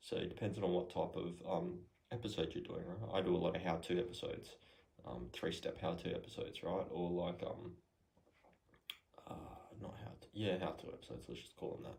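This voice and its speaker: A soft-spoken man at a fairly quick pace, with long, frequent pauses and audible room echo. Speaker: podcast host, entrepreneur. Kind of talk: casual how-to talk. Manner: soft-spoken, quiet; hesitant, many fillers.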